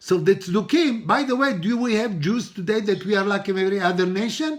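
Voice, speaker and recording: With an Israeli accent, a man speaks in a high pitch with lively intonation at a moderate pace. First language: Hebrew. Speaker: rabbi teaching a Torah class. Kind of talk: religious lecture.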